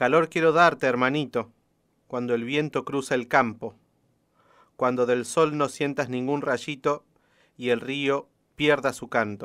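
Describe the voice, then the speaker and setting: Long, frequent pauses break up speech with fairly even intonation on a very clean recording with a silent background. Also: man, medium pitch for a man, fairly slow pace. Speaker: radio host and poetry reader. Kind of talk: poem reading on radio. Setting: radio studio.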